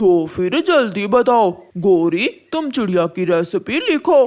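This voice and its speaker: A female-sounding voice does a cartoonish character at a fairly high pitch. The pace is very slow. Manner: gruff, threatening.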